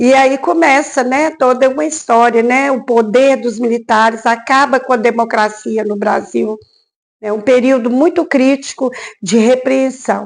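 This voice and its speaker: Her pitch is high, and she is a woman speaking at a fairly slow pace. The pitch variation is ordinary. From Brazil, Minas Gerais. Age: 60s. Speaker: history teacher. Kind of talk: documentary interview. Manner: hesitant, many fillers.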